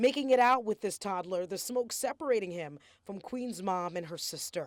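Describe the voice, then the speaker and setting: A woman with an ordinary speaking voice talks at a moderate pace and medium pitch, her intonation lively and her loudness swinging widely, on a very clean recording with a silent background. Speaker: news anchor and reporter. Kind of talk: TV news package narration.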